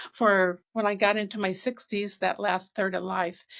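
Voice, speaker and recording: Recorded very cleanly against a silent background, a woman with a normal speaking voice talks at medium pitch and a moderate pace. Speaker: author and speaker. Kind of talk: interview.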